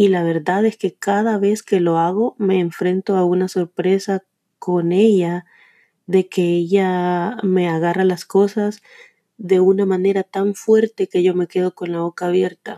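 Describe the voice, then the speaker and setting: A woman's dark, mellow voice in flat, monotone intonation, fairly slow, with a dry, close sound and no echo. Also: medium pitch for a woman. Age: 30s. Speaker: podcaster. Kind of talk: motivational monologue.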